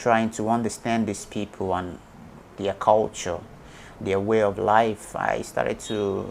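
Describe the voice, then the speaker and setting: In a Nigerian accent, a man speaks at a very slow pace and a fairly low pitch. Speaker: YouTuber and businessman. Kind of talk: interview answer.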